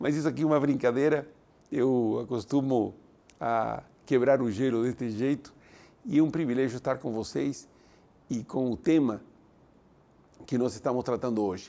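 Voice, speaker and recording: A man's medium-pitched voice, dark and mellow in tone, at a moderate pace with ordinary pitch variation. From Italy, then Argentina. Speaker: university president and speaker. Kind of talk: motivational lecture.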